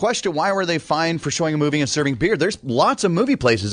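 A man speaks very fast in a fairly high voice with vocal fry. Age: 30s. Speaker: radio show co-host. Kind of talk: casual radio banter. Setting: radio studio.

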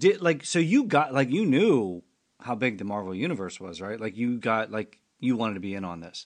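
Speaking at a moderate pace, a man with a medium-pitched voice uses lively intonation and big swings in loudness. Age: 50s. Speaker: podcast host. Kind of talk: casual chat; scripted announcement. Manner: animated.

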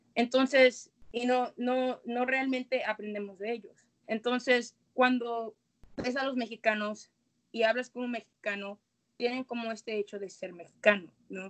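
Her loudness swinging widely, a woman speaks at a high pitch and fairly slow pace with fairly even intonation. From Guadalajara, Jalisco, Mexico. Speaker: guest speaker on Afro-Mexican identity. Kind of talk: casual chat.

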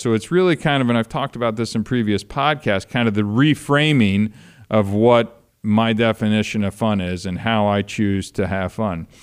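A normal speaking voice from a man, medium in pitch with lively intonation at a moderate pace, on a very clean recording with a silent background. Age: 40s. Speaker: podcast host, sobriety counselor. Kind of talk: casual monologue. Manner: casual, filler-heavy.

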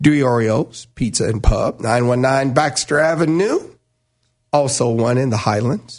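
Quiet background behind a man with an ordinary speaking voice, medium pitch and ordinary pitch variation. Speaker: radio host. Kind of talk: live sports talk radio banter, bright and chatty. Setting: radio studio.

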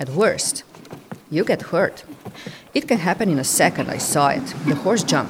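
Long pauses come often as a woman speaks at a moderate pace and medium pitch, her pitch swinging very widely over noticeable background noise. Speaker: news reporter.

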